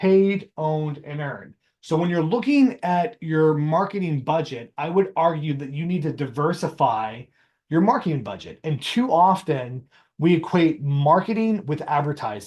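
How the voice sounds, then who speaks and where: A man's ordinary speaking voice, fairly high in pitch, at a moderate pace with lively intonation over a quiet background. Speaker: marketing strategist and teacher. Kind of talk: webinar presentation. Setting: video call with screen share. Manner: casual with many fillers.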